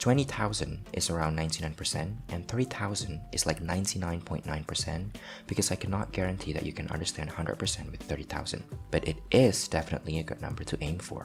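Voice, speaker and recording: Over background music, someone speaks at a very fast pace with lively intonation. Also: man, very deep, low pitch for a man. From Southeast Asia. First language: not English, not Korean. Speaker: language learning vlogger. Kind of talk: casual vlog monologue. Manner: hesitant, many fillers.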